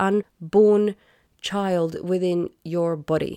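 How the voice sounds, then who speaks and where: Recorded very cleanly with a silent background and a dry, close sound with no echo, a woman speaks at medium pitch in a dark, mellow tone. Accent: Swedish. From Sweden. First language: Swedish. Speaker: podcast host. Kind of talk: solo podcast monologue.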